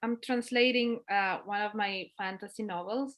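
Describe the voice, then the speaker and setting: A woman speaks at a fairly slow pace with a Spanish accent. Her fairly high voice has lively intonation. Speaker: author. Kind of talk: interview conversation. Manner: halting.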